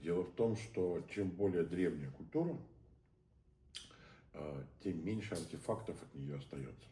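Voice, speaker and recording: A man's very deep, low voice, dark and mellow in tone, with vocal fry, lively intonation and big swings in loudness, at a fairly slow pace with long, frequent pauses and audible room echo. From St. Petersburg, Russia. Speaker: theatre director. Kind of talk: conversational interview. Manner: hesitant, many filler sounds.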